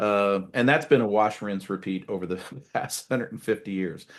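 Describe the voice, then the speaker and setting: Against a quiet background, a man with an American accent and a plain, everyday voice talks fairly quickly at a fairly low pitch. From United States. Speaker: podcast host, retired military officer. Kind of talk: interview conversation.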